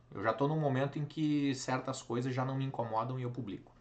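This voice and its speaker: A man's medium-pitched voice with audible echo from the room. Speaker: teacher. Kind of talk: lecture. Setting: live online class.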